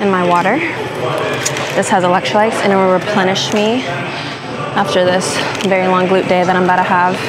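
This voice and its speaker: Amid loud background noise, a woman speaks at a moderate pace with long, frequent pauses. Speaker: fitness vlogger. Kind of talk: casual vlog chat. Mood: relaxed, slightly exasperated. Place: gym. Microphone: lapel.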